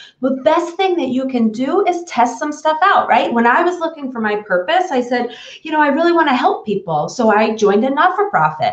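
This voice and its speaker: A woman's high voice in a New York accent, very wide pitch swings and a fairly quick pace, with music in the background. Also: hardly any pauses. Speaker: business consultant. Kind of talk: live stream conversation. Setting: live stream broadcast.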